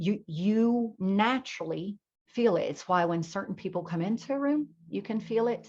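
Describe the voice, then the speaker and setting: A woman with a plain, everyday voice talks at a moderate pace. Her intonation is lively. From North Carolina, Blue Ridge Mountains. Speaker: spiritual teacher and hypnotherapist. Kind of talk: spiritual talk to an audience. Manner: casual, conversational.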